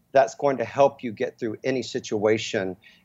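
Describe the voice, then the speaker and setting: A man with an American accent talks at a fairly slow pace. His pitch is medium. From Texas, Dallas. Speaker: brand consultant for musicians. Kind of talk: interview. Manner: animated.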